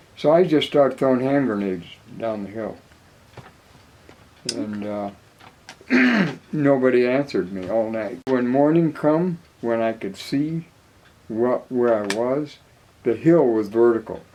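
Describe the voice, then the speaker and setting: The speech comes at a fairly slow pace with long, frequent pauses and ordinary pitch variation, against noticeable background noise. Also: man, medium pitch for a man. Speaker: war veteran. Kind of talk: interview answer.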